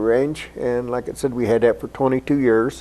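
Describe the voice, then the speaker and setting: With an American accent, a man uses an ordinary speaking voice at a medium pitch and a moderate pace. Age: 60s. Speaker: archer and Vietnam veteran. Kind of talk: interview.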